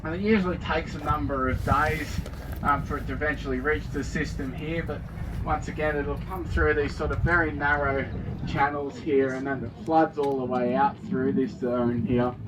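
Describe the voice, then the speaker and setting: A man speaks in a strong Australian accent. Noticeable background noise and audible room echo surround him. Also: moderate pace. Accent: thick Australian. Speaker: tour guide. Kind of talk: guided tour commentary. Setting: outdoors on a river cruise boat.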